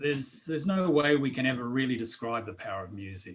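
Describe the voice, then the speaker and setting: A man speaks with an Australian accent. His pitch sits in the medium range. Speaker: drum circle facilitator and author. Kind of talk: interview. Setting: video call. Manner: halting, many fillers. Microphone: too quiet.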